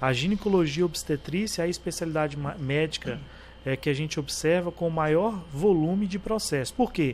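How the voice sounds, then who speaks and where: A man talks at a moderate pace with ordinary pitch variation, using a plain, everyday voice. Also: fairly high pitch for a man. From Brazil, Tocantins (Palmas). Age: 30s. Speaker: physician and medical council member. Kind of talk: interview conversation.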